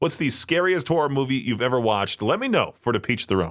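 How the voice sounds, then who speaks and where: In a very clean recording with a silent background, a man with an ordinary speaking voice talks at a medium pitch with lively intonation. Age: 20s. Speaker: radio host. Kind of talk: radio talk show.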